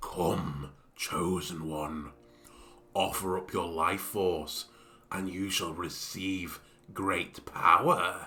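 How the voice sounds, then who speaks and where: Using a put-on character voice, a man speaks with a raspy, very deep, low pitch. He goes at a very slow pace with long, frequent pauses. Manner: ominous, tempting.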